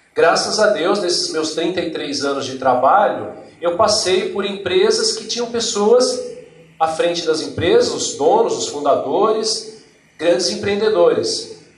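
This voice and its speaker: A man speaks at a fairly slow pace. Audible room echo and noticeable background noise are present. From Brazil, Northeast (Paraíba backcountry). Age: 40s. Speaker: HR manager, invited speaker. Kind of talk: lecture.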